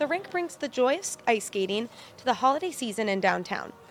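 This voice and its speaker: A woman's unremarkable speaking voice, fairly high in pitch and fairly quick in pace. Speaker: multimedia journalist. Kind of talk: TV news report.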